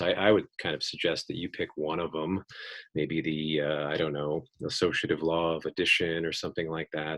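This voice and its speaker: Over a quiet background, a man with a very deep, low pitch speaks at a fairly quick pace. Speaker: math professor. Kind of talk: lecture. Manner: fast.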